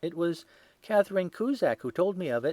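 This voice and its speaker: Putting on a whiny, shaky character voice, a man talks fairly quickly at a high pitch with lively intonation, recorded dry and close with no echo. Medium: read story. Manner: nervous, whining.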